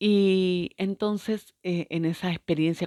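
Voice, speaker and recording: On a very clean recording with a silent background, a woman speaks with fairly even intonation in a dry, close sound with no echo. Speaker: spiritual teacher. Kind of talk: video monologue. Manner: halting, many fillers.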